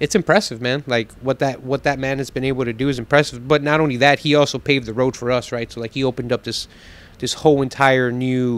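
A man talks at a fairly quick pace with fairly even intonation in a dry sound with no echo. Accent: American. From Texas. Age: 30s. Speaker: pitmaster and restaurant owner; podcast guest. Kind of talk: casual chat; interview answer. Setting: on location at a restaurant. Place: home room. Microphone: handheld.

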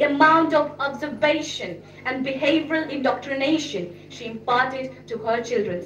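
A high-pitched woman with hardly any pauses, audible room echo and light background noise. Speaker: speaker. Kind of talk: speech. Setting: stage with audience. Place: hall. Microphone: podium.

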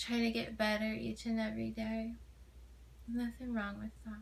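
The voice is soft-spoken with a gentle tone. It moves at a very slow pace. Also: woman. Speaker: ASMR creator playing a supportive friend. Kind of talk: ASMR friend roleplay comfort talk. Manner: gentle, soft-spoken, reassuring. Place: home room. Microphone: phone near.

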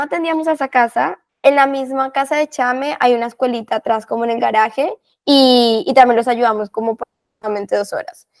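A woman speaks in a high pitch at a moderate pace against a quiet background. Her pitch variation is ordinary. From Colombia. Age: 20s. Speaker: volunteer. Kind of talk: interview. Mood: warm, reflective. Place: home room. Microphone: earbuds.

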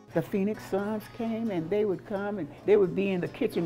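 A woman is speaking. Faint music plays in the background. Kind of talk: interview answer. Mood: warm, proud, good-humored. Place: cafe.

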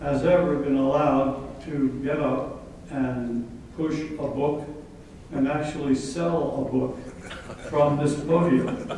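A man speaks with ordinary pitch variation. The room echo is strong, with light background noise. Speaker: guest. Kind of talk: after-lunch speech. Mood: humorous, reminiscing. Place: hall.

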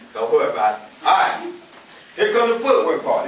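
A man speaks with light background noise. Room echo is audible. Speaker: fitness instructor. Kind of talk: dance-fitness class instruction. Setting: group class with music. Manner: upbeat, casual, encouraging. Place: hall. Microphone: camera far.

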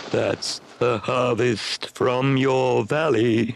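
Very slowly, a man in a put-on character voice speaks at a medium pitch, sounding croaky. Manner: croaking.

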